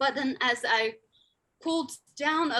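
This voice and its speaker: With a Sichuan accent, a woman speaks in a bright, sharp tone with ordinary pitch variation. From Tibetan community in China. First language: rGyalrong Khroskyabs. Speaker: linguist and endangered language advocate. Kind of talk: conference lecture.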